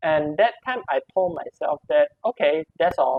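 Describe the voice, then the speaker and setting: A woman is speaking. Her pitch moves in very wide swings. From Malaysia. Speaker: podcast guest. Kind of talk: casual chat. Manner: halting.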